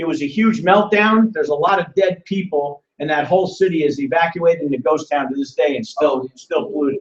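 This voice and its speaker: A man with a New Jersey accent talks at a fairly quick pace and high pitch, with hardly any pauses and ordinary pitch variation. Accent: New Jersey American. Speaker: business presenter, former mayor. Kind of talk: live business presentation. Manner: fast; animated.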